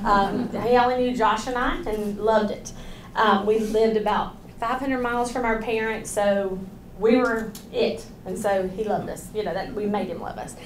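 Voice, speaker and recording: Audible room echo surrounds a woman speaking at a moderate pace with fairly even intonation. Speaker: parent advocate. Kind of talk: presentation. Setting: hospital grand rounds podium with mic. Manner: loud.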